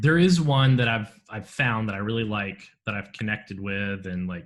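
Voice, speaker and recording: A man speaks with a Southern accent at a fairly low pitch. His pace is moderate and his pitch variation ordinary. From Florida. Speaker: podcast host and priest. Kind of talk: casual chat.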